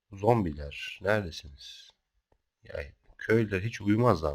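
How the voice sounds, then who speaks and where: With lively intonation, a somewhat breathy man talks at a very slow pace. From Turkey, Kocaeli (Izmit). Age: 30s. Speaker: gaming youtuber. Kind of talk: gameplay commentary. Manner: hesitant, many filler sounds.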